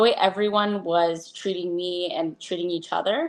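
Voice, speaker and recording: Using a normal speaking voice, a woman at a medium pitch talks at a fairly slow pace with fairly even intonation. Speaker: AEW ring announcer. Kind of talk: podcast interview answer.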